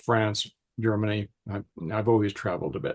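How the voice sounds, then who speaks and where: A man speaks in a fairly low pitch with a somewhat breathy voice. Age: 80s+. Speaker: customer sharing supplement experience. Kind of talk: testimony. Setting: video call.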